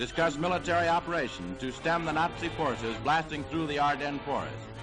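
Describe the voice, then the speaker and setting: Over music in the background, a man talks at a fairly quick pace with a fairly high pitch and ordinary pitch variation. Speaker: newsreel narrator. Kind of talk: newsreel narration. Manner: dramatic, emphatic.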